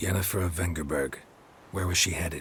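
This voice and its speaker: In a put-on character voice, a man speaks very fast with a raspy, very deep, low pitch over clear background noise. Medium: video game. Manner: terse, dry.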